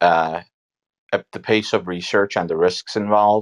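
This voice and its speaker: A man speaks with ordinary pitch variation. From Turkey. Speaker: computational biologist and biotech founder. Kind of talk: casual interview.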